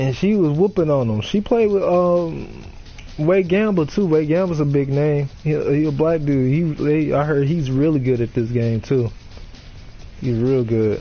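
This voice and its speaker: A man with an unremarkable speaking voice talks at a fairly slow pace and fairly high pitch. His intonation is lively and his loudness very even. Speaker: gaming streamer. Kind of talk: casual chat.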